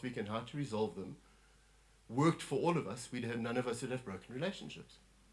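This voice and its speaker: Speaking at a very fast pace with lively intonation, a man is heard with audible room echo. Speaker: lay preacher. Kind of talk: sermon. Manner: animated.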